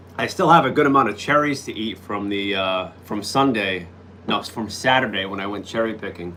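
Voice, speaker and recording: Talking at a fairly quick pace, a man with a fairly low pitch shows ordinary pitch variation and big swings in loudness, with audible room echo and noticeable background noise. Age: 40s. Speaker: live streamer. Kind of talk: casual chat. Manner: hesitant, many fillers.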